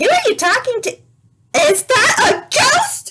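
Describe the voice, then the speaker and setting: This put-on character voice is squeaky and pitched extremely high. It moves at a fairly slow pace. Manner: chipper.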